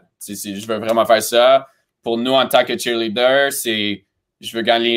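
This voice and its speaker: Here a man speaks at a fairly slow pace. The background is quiet. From Romania, then Montreal from age 12. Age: 20s. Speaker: cheerleading coach and choreographer; cheerleading coach. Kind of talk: interview. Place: home room.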